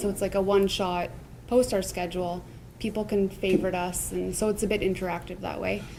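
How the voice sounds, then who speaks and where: A woman with a Canadian accent, fairly quick and monotone with flat intonation, amid audible room echo and noticeable background noise. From Ontario, Canada (Niagara). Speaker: food truck owner. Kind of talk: interview.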